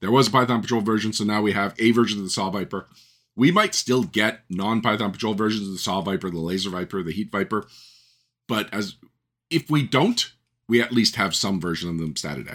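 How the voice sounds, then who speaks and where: A man with a Canadian accent speaks at a fairly quick pace in a normal speaking voice. His pitch is fairly low, with ordinary pitch variation. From Canada. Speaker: podcast host and game writer. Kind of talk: solo podcast monologue.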